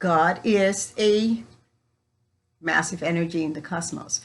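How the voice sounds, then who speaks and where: Ordinary pitch variation from a woman, the background quiet. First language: Spanish. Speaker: spiritual coach. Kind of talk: spiritual teaching talk.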